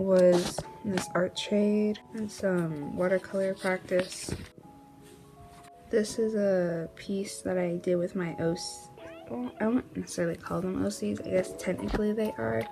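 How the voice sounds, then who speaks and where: A woman speaks at a fairly slow pace in a medium pitch, her intonation lively, with music playing in the background. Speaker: artist. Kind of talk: casual talk to camera.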